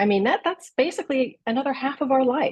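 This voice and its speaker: A woman with an American accent speaks fairly quickly in a somewhat breathy voice against a quiet background. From US Midwest, Columbus, Ohio. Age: 60s. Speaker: wellness advocate. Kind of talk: podcast interview. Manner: animated.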